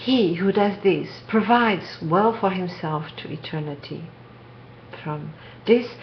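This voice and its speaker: Very slow speech with a non-native accent and big swings in loudness comes through audible room echo and noticeable background noise. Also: woman, medium pitch for a woman, ordinary pitch variation. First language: not English. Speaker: spiritual video maker. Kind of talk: reading aloud. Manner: soft-spoken.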